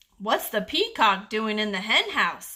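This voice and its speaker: In a put-on character voice, a woman speaks at a moderate pace with a fairly high pitch and ordinary pitch variation. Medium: read story.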